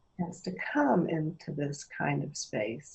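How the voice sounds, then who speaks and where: Vocal fry runs through a woman's voice. Her intonation is lively. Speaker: workshop facilitator. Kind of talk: guided experiential workshop. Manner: slow, pausing.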